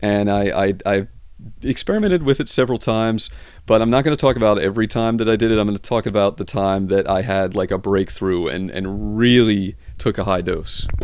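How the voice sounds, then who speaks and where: A man's fairly low-pitched voice at a fairly quick pace, with ordinary pitch variation and a quiet background. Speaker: YouTube vlogger. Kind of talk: casual monologue vlog. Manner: fast; halting, many repetitions.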